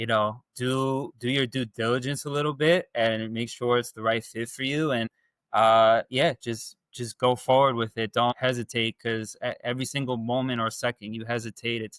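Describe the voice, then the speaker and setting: A man with a Long Island accent speaks at a moderate pace with hardly any pauses, his medium pitch held fairly even. The sound is dry and close, with no echo. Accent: New York (Long Island). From Long Island, New York. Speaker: dating coaching client. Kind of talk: interview testimony. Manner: halting, many fillers and repeats.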